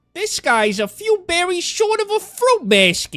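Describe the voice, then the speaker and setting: The pitch climbs extremely high in this put-on character voice. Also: moderate pace. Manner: cartoonish, sassy.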